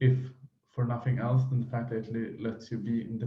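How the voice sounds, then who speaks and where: Speaking with a non-native accent, a man uses a medium pitch and a dark, mellow tone. His voice is somewhat breathy, and room echo is audible. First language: not English. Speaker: mental health vlogger. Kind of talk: unscripted monologue. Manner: halting, many fillers.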